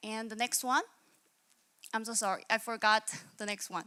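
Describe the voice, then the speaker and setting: A voice with a Korean accent. The tone is bright and sharp, recorded dry and close with no echo. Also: woman. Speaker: hackathon participant, UX/UI designer. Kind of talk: pitch presentation. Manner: halting, many fillers and restarts.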